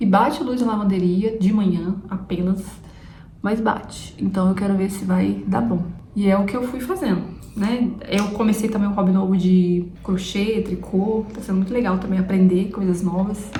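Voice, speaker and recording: At a moderate pace, a woman speaks with a medium pitch and fairly even intonation. Noticeable background noise and audible room echo surround her. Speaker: vlogger. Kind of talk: casual vlog chat. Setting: at home, camera on tripod.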